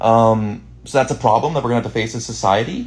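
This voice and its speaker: The man's somewhat breathy voice sits at a medium pitch with fairly even intonation. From Boston, US. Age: 20s. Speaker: streamer. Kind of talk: casual chat. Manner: fast.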